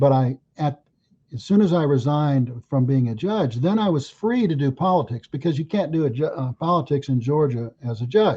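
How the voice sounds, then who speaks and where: Using lively intonation, a man with an American accent talks in a fairly high, somewhat breathy voice with a dark, mellow tone. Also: moderate pace. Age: 70s. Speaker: lawyer and political candidate. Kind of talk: podcast interview. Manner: halting, many fillers.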